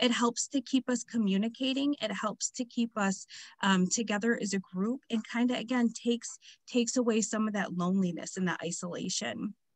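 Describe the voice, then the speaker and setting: Over a quiet background, a woman with a fairly high, somewhat breathy voice talks at a fairly quick pace with ordinary pitch variation, the sound dry and close with no echo. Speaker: community program presenter. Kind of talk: webinar presentation.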